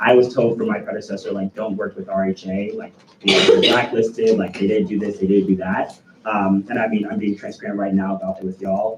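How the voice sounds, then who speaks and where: The speaker talks at a fairly quick pace and with fairly even intonation, with noticeable background noise throughout. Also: man. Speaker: student government executive. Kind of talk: meeting report. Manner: fast.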